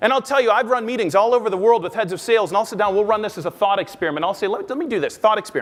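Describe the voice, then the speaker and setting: Loud and animated, a man with an American accent talks at a high pitch with lively intonation. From US Midwest, Omaha, Nebraska. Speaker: business researcher and sales speaker. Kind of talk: keynote talk. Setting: conference stage with audience.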